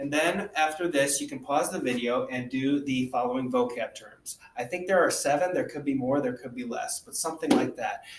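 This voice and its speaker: A man's pitch varies in an ordinary way as he talks fairly quickly. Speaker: teacher. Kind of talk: tutorial. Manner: fast.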